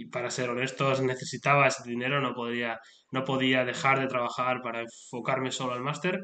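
In a space with audible room echo, a man keeps a moderate pace at a medium pitch. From Spain. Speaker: motorsport podcaster and engineer. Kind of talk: solo podcast monologue. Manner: halting, many fillers and repetitions.

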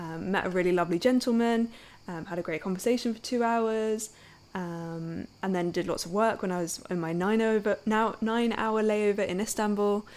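A woman's plain, everyday voice at a medium pitch, moderate pace and fairly even intonation, in a very clean recording with a silent background. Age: 20s. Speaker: podcast host, intuition coach. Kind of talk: casual monologue.

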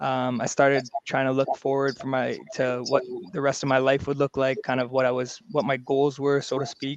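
With a Canadian accent, a man speaks at a moderate pace in a fairly high pitch. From Vancouver, Canada. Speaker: basketball coach and league commissioner. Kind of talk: casual interview.

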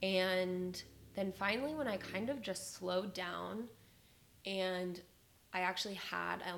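This woman has an ordinary speaking voice with an American accent, a medium pitch and ordinary pitch variation. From Las Vegas, Nevada. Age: 20s. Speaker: podcast host. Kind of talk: casual monologue. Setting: home recording.

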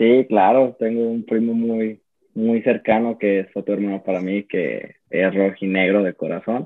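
A man speaks with a plain, everyday voice at a fairly low pitch. His pace is fairly slow and his intonation fairly even. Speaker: football fan. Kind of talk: casual chat.

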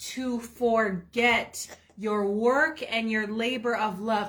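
With fairly even intonation, a woman speaks in a bright, sharp tone at a fairly high pitch. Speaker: ministry co-host. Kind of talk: preaching and testimony livestream.

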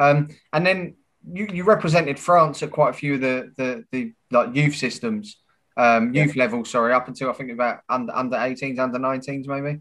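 A man with an English accent at medium pitch, with ordinary pitch variation and a moderate pace, against a quiet background. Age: 30s. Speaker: podcast host. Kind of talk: interview.

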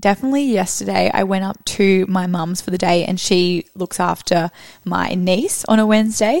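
A woman with an unremarkable speaking voice talks fairly slowly, her pitch varying in an ordinary way. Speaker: podcast co-host. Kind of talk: casual chat. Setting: studio.

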